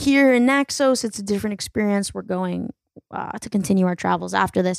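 Recorded very cleanly against a silent background, a woman speaks at a medium pitch with ordinary pitch variation in an ordinary speaking voice. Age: 20s. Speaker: comedian and podcast host. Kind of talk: solo podcast intro; casual chat. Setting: recording intro while traveling in Greece.

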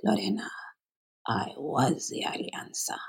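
A raspy, whispered put-on character voice at a fairly slow pace. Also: man.

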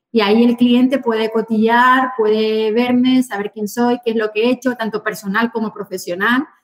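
Her pitch is fairly high for a woman. She speaks at a fairly slow pace. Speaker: real estate agent. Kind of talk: interview. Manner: animated.

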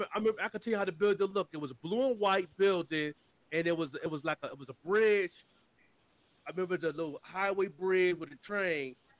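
With an American accent and a high pitch, a man speaks at a very fast pace, his loudness swinging widely and his pitch varying in an ordinary way, in a dry, close sound with no echo. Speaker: marketer. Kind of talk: casual chat.

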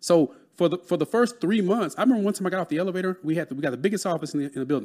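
On a very clean recording with a silent background, a man with a Texas accent talks at a very fast pace with lively intonation. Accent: Southern US, Texas. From Texas, Dallas. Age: 30s. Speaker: real estate broker and mentor. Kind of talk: casual interview chat.

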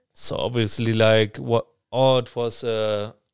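In a German accent, a man speaks at a medium pitch. The recording is very clean with a silent background. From Germany. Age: 20s. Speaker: student. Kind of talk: casual interview.

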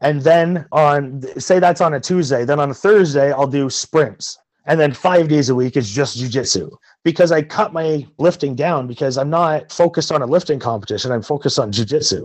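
With a Canadian accent, a man talks in a plain, everyday voice at a fairly high pitch, a moderate pace and ordinary pitch variation. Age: 30s. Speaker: martial arts instructor. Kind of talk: interview.

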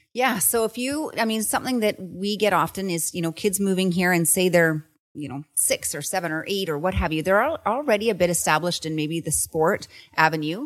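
With a Western Canadian accent, the speaker talks at a fairly quick pace with lively intonation. The recording is very clean, with a silent background. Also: woman, medium pitch for a woman. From Canada, Kelowna, British Columbia. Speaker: real estate agent, podcast co-host. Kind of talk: casual chat.

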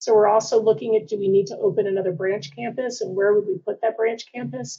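Talking at a very fast pace, a woman uses a fairly high pitch with ordinary pitch variation. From Washington D.C. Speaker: university administrator. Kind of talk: interview.

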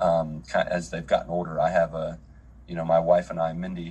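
An Appalachian accent, lively intonation and a fairly quick pace, with noticeable background noise. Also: man. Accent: American, Appalachian. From US, West Virginia. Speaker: missionary pastor. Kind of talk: casual chat.

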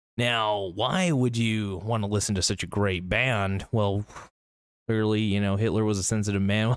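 A man talks at a moderate pace. The recording is very clean, with a silent background. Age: 30s. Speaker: comedic YouTuber. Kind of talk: comedic monologue. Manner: valley girl inflection; animated.

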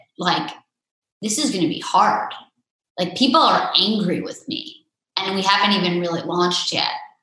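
Amid audible room echo, a woman at a medium pitch speaks with lively intonation and long, frequent pauses. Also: moderate pace. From Vermont. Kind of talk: interview.

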